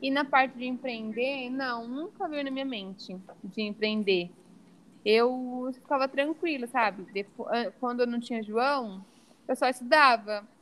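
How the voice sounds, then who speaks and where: A woman speaks high-pitched at a fairly slow pace with ordinary pitch variation. Her pauses are long and frequent. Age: 20s. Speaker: environmental engineer and mother. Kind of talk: podcast interview.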